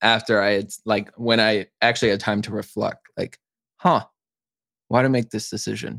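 Dry and close with no echo in a very clean recording over a silent background, a man with an American accent uses a normal speaking voice at medium pitch, moderate pace and fairly even intonation. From Chicago, US. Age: 20s. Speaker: content creator. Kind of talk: casual interview chat.

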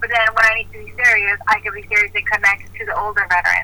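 Noticeable background noise sits behind a woman speaking at a fairly quick pace. Her medium-pitched delivery is monotone and flat. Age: 30s. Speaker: Marine veteran and art therapy student. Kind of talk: casual interview.

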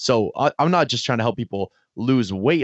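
A man with a medium pitch speaks at a fairly quick pace in an energetic, animated tone. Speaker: fitness coach and podcaster. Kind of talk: casual interview chat.

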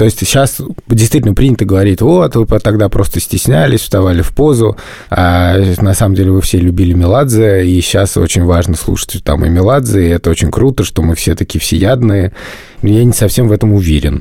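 With noticeable background noise behind him, a man talks at a fairly quick pace, his fairly low voice showing ordinary pitch variation and very even loudness. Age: 30s. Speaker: podcast host, father of three. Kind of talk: casual chat.

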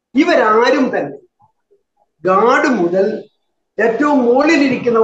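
A man's voice with audible room echo. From Kerala, Wayanad. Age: 70s. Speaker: farmers' union leader and activist. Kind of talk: interview.

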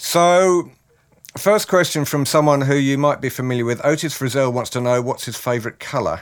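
A man with a New Zealand accent speaks at a fairly high pitch with ordinary pitch variation. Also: moderate pace. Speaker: podcast host. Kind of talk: casual interview. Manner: jokey, teasing.

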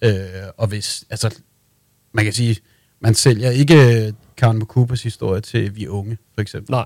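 Fairly slow speech with long, frequent pauses and fairly even intonation, in a dry, close sound with no echo on a very clean recording with a silent background. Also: man, medium pitch for a man. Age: 30s. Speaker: music PR agency owner. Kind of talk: interview. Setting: studio.

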